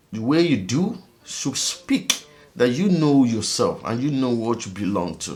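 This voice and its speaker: Over noticeable background noise, a man talks at a fairly slow pace in an animated tone, his pitch swinging very widely. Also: medium pitch for a man. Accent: African. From Africa. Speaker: vlogger. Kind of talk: casual monologue vlog.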